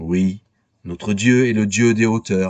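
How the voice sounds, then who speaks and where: Recorded dry and close with no echo, the speech unfolds at a very slow pace against a quiet background. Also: man. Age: 60s. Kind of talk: scripted narration.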